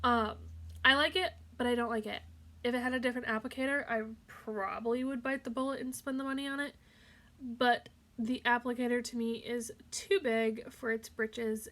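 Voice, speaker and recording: A woman's high-pitched voice with ordinary pitch variation. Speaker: beauty youtuber. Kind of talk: makeup tutorial. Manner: casual, hesitant with fillers; soft-spoken.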